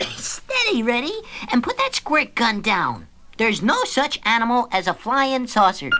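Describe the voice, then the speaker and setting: A female-sounding cartoonish character voice, high in pitch, moves at a moderate pace against clear background noise. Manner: dry, level-headed.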